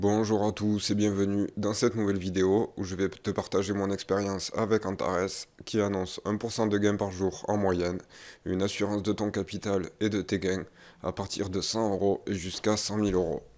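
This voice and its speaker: A man's fairly low voice at a moderate pace, monotone and flat, on a very clean recording with a silent background. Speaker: investing youtuber. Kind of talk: vlog update. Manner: soft-spoken; hesitant, many fillers.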